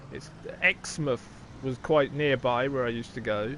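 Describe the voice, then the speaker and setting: This man has a Wiltshire accent. He speaks at a moderate pace. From southern England, Wiltshire. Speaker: gaming streamer. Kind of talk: live gameplay stream chat. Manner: casual, chatty.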